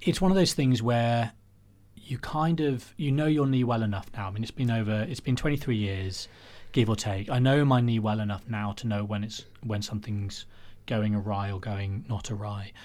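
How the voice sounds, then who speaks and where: A man with an English accent, at medium pitch and a moderate pace, with ordinary pitch variation. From England, Warwickshire. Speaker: cancer survivor. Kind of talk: interview. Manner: halting.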